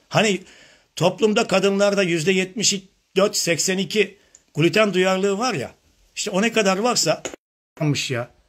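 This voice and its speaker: Pausing long and often, a man talks at a fairly slow pace in a high pitch with ordinary pitch variation. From western Turkey, Manisa Alaşehir; western Turkey. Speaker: functional medicine doctor; presenter. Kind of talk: live online seminar. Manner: animated. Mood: critical, arguing. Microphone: phone near.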